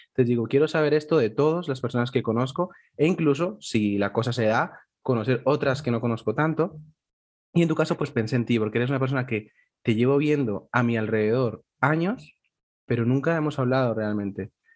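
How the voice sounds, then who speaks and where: A man at medium pitch, fairly quick in pace, with ordinary pitch variation. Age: 20s. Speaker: podcast host. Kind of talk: casual chat. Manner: animated.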